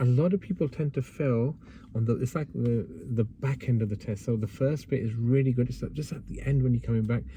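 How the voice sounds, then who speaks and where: A man speaks fairly quickly at a medium pitch, his voice somewhat breathy with a dark, mellow tone. His pitch variation is ordinary, and the background is quiet. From northern England, Bradford, West Yorkshire. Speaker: driving instructor. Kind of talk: driving lesson instruction. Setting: in a car.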